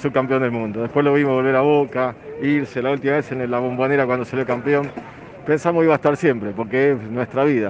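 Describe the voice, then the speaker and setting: A man at medium pitch, with noticeable background noise. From Argentina, Lomas de Zamora (Greater Buenos Aires). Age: 50s. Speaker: football fan. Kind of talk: street interview.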